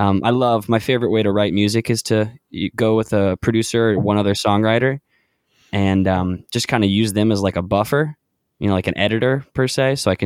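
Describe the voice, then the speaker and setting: A plain, everyday voice, this man speaks with an American accent at a fairly low pitch and a fairly quick pace, with fairly even intonation and very even loudness, recorded dry and close with no echo on a very clean track with a silent background. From North Carolina, Charlotte. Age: 20s. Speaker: indie singer-songwriter. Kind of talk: casual chat.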